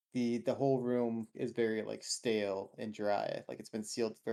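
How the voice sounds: The reading voice sounds natural. Its pitch holds fairly even.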